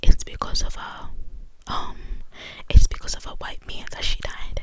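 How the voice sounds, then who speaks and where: A woman whispers over noticeable background noise. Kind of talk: ASMR whispered true crime ramble; casual talk to camera, discussion. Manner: whispered, soft-spoken.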